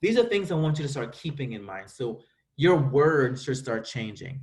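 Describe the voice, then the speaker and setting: A man talks at a fairly quick pace with an American accent. His voice is somewhat breathy and fairly high in pitch. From US Virgin Islands. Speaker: school administrator. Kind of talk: virtual school presentation. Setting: video call.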